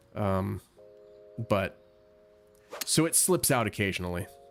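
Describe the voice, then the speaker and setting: With music in the background, a man speaks at a fairly low pitch with an American accent. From United States. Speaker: gaming live streamer. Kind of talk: live gameplay stream chat. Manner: casual.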